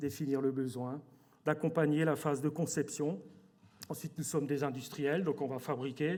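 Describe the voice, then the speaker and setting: On a very clean recording with a silent background, a man with a fairly high pitch talks at a moderate pace in a flat monotone, pausing long and often. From Alsace, France. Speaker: company director. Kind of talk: corporate presentation. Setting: stage with audience at awards evening. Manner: hesitant, many fillers and repetitions.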